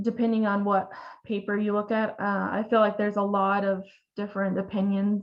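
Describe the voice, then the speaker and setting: In an American accent, a woman speaks at a medium pitch with monotone, flat intonation. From Oklahoma. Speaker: veterinarian. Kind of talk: webinar lecture. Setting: online webinar. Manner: hesitant, many fillers.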